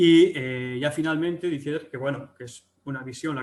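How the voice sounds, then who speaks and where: A man's fairly high-pitched voice in a Galician accent. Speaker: agricultural economics researcher. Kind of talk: webinar presentation. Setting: online webinar. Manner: hesitant, many fillers and restarts.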